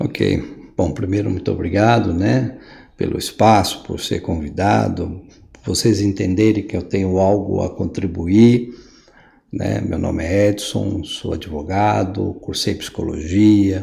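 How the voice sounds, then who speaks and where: Very slowly, a man speaks in a dark, mellow tone with a fairly low pitch, vocal fry and fairly even intonation. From Brazil, São Paulo. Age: 60s. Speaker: lawyer and writer, podcast guest. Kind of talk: interview conversation.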